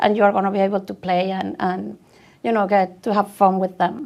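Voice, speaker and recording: A woman with a Venezuelan accent speaks with fairly even intonation. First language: Spanish. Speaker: tech speaker. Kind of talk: conference talk.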